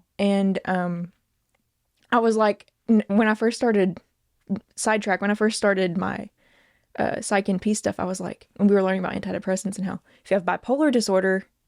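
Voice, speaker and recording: A woman with a Southern US accent at a medium pitch, fairly quick pace with long, frequent pauses, fairly even intonation, and a dry, close sound with no echo on a very clean recording with a silent background. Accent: Southern American. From American South. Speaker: nurse, comedian. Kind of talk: interview answer.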